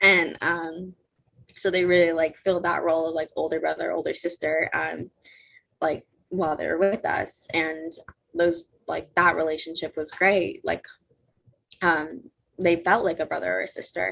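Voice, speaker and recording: A woman talks with an American accent at a moderate pace. She takes long, frequent pauses. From California, Mexican American. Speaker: gap year student. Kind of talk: interview. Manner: casual, filler-heavy.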